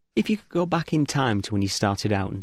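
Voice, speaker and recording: Recorded very cleanly with a silent background and a dry, close sound with no echo, a man with a fairly low pitch talks at a very fast pace with an English accent. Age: 30s. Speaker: podcast host. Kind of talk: interview.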